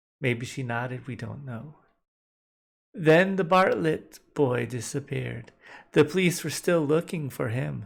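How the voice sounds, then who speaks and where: On a very clean recording with a silent background, the voice moves at a fairly slow pace. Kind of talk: old-time radio drama with a narrator reading a story. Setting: live-streamed recording. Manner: narrating a spooky story in storyteller style.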